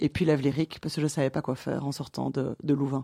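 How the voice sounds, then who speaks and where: A woman with a dark, mellow tone speaks at a fairly quick pace in a dry, close sound with no echo. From Belgium, Brussels. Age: 30s. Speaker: director of an entrepreneurs' network. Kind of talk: interview.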